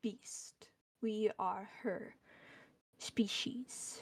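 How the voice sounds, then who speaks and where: A woman's put-on character voice, growling and whispering. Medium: virtual streamer. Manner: terse, speaks as "we".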